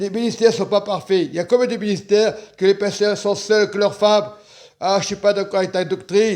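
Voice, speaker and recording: This man's voice sits high in pitch with fairly even intonation, while his loudness swings widely. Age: 60s. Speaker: preacher. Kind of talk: sermon. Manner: halting.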